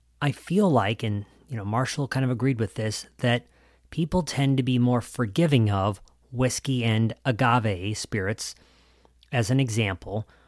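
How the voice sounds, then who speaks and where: In a normal speaking voice, a man talks at a moderate pace and medium pitch with ordinary variation, the sound dry and close with no echo on a very clean recording against a silent background. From US Midwest. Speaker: podcast host. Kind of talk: interview podcast.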